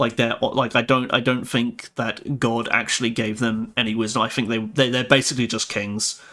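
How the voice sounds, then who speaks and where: A man with an English accent talks at a moderate pace and a medium pitch, in a bright, sharp tone with monotone, flat intonation. The recording is very clean, with a silent background. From England. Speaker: live streamer. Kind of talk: casual live stream chat. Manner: halting, many repeated words.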